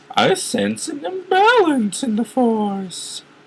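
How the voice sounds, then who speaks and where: In a put-on character voice, a man speaks at an extremely high pitch. He delivers it at a very slow pace. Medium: read story. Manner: hushed, dramatic.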